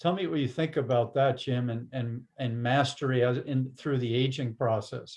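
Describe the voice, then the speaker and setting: Somewhat breathy, a man speaks at medium pitch and a moderate pace, with fairly even intonation and hardly any pauses. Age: older, aging. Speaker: interview host. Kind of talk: casual interview conversation. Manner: halting, many false starts.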